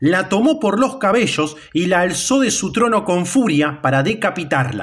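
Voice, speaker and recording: The pitch swings very widely as the speaker talks at a fairly slow pace. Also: man. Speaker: video channel narrator. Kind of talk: mythology documentary narration. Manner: formal, even-paced, explanatory.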